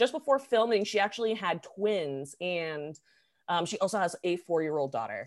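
A woman with an ordinary speaking voice, medium in pitch, at a moderate pace. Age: 20s. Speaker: podcast co-host. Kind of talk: casual chat.

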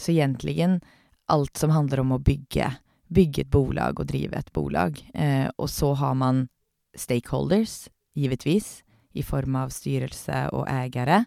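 A woman's fairly slow voice, dry and close with no echo, on a very clean recording with a silent background. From Norway, Oslo. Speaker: company CEO. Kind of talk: interview. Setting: podcast booth.

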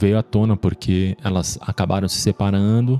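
In a dry, close recording with no echo, a man speaks fairly slowly in a plain, everyday voice, fairly low in pitch and fairly even in intonation. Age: 40s. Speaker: podcast host. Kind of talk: personal testimony.

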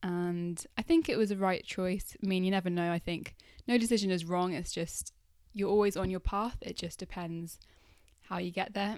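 A woman mumbles at a medium pitch and a moderate pace. Her intonation stays fairly even. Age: 20s. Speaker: life coach podcaster. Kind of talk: solo podcast monologue. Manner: mumbles a bit, conversational.

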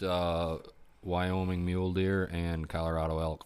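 In a very deep, low pitch, a man with an American accent talks at a very slow pace. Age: 30s. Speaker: hunting podcast co-host. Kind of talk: casual chat.

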